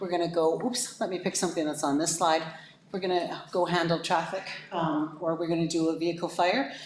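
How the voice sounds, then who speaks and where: In a room with audible echo, a woman talks at a fairly quick pace with a fairly low pitch and fairly even intonation. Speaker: fire services consultant. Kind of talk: presentation to council. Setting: council meeting. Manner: fast.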